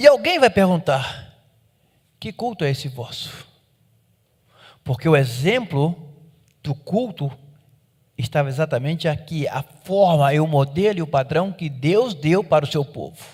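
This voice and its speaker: This man's fairly high voice moves at a fairly slow pace with lively intonation, big swings in loudness, and long, frequent pauses. The recording is very clean, with a silent background. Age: 60s. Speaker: pastor. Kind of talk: sermon.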